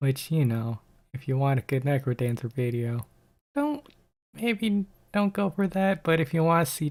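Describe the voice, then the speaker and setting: The recording is very clean, with a silent background. A man speaks in a somewhat breathy voice at a moderate pace. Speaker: gaming youtuber. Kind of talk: casual monologue. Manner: monotone; halting.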